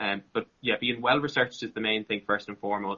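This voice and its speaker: A man with an Irish accent talks very fast at a medium pitch. His intonation is monotone and flat. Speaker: content creator and interviewer. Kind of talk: interview. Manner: relaxed.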